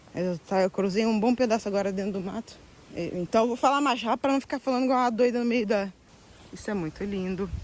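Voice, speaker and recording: A woman speaks with a Brazilian accent at a very fast pace. Her pitch is fairly high. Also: ordinary pitch variation. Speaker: travel vlogger. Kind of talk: casual vlog talk to camera. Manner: animated.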